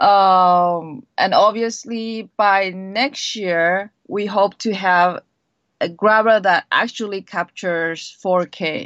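Over a quiet background, a woman at a medium pitch talks at a very slow pace with fairly even intonation, in a dry, close sound with no echo. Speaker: tech company product manager. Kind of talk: interview. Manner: halting, frequent self-corrections.

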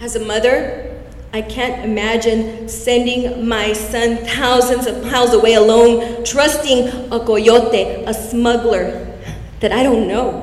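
A woman talks at a very slow pace with monotone, flat intonation and a fairly high pitch. Noticeable background noise sits behind her voice. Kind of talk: spoken word poetry. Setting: stage with audience.

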